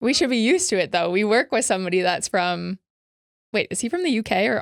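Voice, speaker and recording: A woman with an American accent speaks at a very fast pace, her fairly high voice making very wide pitch swings. The recording is very clean with a silent background, and the sound is dry and close with no echo. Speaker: dating podcast host. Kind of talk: casual chat.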